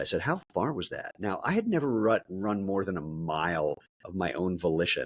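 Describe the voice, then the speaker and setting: At a fairly quick pace, a man speaks with a dry, close sound and no echo. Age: 60s. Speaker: entrepreneur, shoe company founder. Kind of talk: podcast interview.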